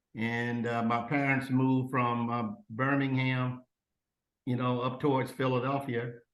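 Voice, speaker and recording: Monotone, flat intonation with an American accent, at a fairly slow pace, with audible room echo. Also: man, medium pitch for a man, very even loudness. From Oklahoma. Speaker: retired compliance officer. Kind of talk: interview. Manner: halting, many fillers.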